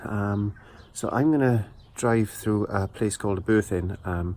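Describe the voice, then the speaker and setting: A quiet man's voice, fairly low in pitch with ordinary variation, in a South Welsh accent. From South Wales. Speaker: vlogger. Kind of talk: casual vlog monologue. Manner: quiet, hushed; hesitant, many fillers.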